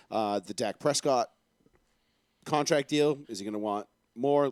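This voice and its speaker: A man speaks with a Boston accent. The recording is very clean, with a silent background and a dry, close sound with no echo. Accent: Boston-area. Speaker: sports talk show host. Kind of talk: live sports talk show.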